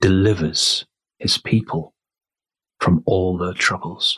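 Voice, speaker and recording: At a very slow pace, a man with a very deep, low pitch speaks in a gentle, calm tone with ordinary pitch variation, the sound dry and close with no echo. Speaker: meditation guide. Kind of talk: guided prayer and meditation. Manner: slow, soothing, hushed and unhurried, with long pauses; gentle, calm, reverent.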